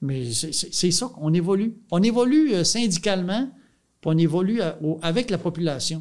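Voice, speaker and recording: Lively intonation runs through a man's speech, which is high in pitch. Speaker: dairy farmer and farm union leader. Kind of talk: casual interview.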